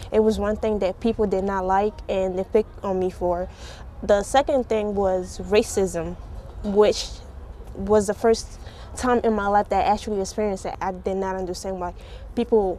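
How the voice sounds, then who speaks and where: A woman's voice with fairly even intonation, set against noticeable background noise. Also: medium pitch for a woman, moderate pace. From Africa. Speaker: immigrant student. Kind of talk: interview testimony.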